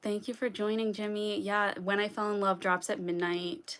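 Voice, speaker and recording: A woman speaking at a fairly slow pace. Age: 20s. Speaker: singer-songwriter. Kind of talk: casual livestream chat. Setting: live stream. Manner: hesitant, many fillers.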